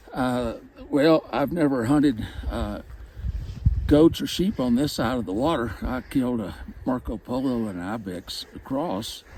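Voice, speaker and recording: A man at a medium pitch and fairly slow pace, with ordinary pitch variation and noticeable background noise. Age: 70s. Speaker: hunting client. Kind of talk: interview. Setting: outdoors.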